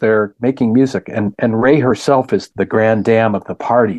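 A man with an American accent and a plain, everyday voice speaks at a moderate pace and medium pitch, with ordinary pitch variation. The sound is dry and close with no echo, over a quiet background. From US Upper Midwest, Wisconsin. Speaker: activist and novelist. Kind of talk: interview conversation. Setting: video call.

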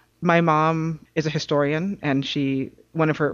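This woman has a very deep, low pitch. She speaks with an American accent. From New York City. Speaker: advocacy coordinator and author. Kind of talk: casual interview.

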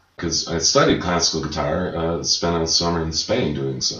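A man's very deep, low voice with an American accent and ordinary pitch variation, amid noticeable background noise and audible room echo. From Chicago. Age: 40s. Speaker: singer-songwriter. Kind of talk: casual interview. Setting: dining room.

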